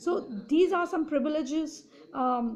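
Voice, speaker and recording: Speaking with an Indian accent, a woman talks at a moderate pace with ordinary pitch variation. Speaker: political commentator. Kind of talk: opinion monologue. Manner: halting, many fillers and restarts.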